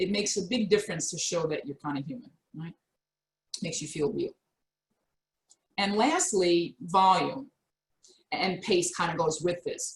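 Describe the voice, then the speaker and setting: A woman at medium pitch and moderate pace, with lively intonation, big swings in loudness and long, frequent pauses. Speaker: career coach. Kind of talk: webinar presentation. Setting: video call. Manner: animated.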